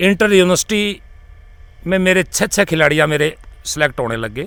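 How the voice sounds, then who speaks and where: The speaker is a man with a high pitch. It rises and falls in an ordinary way. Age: 60s. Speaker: retired kabaddi coach and physical education professor. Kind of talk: interview. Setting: his ashram.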